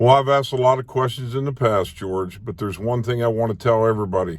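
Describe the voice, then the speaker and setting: A man with an American accent and a normal speaking voice talks at a fairly quick pace and medium pitch with ordinary pitch variation. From Maryland, US. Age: 60s. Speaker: independent presidential candidate. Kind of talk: campaign video address.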